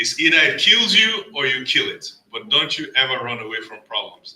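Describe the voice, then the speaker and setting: The speaker has a Nigerian accent. The pace is fairly quick. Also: man. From Nigeria (Lagos). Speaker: storyteller at community event. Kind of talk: personal storytelling speech.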